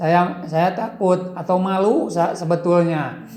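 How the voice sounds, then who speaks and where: In a Sundanese accent, this voice moves at a very slow pace with flat, monotone intonation. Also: man. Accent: Sundanese-accented Indonesian. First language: Sundanese (speaking Indonesian). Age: old. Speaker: former village head turned YouTuber. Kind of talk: interview. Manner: halting.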